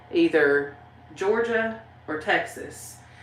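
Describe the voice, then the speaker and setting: Lively intonation from a woman with a strong Southern US accent, with audible room echo. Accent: strong Southern country. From Tennessee. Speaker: YouTuber, paranormal channel host. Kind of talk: livestream chat reading comments. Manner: casual, rambling with fillers.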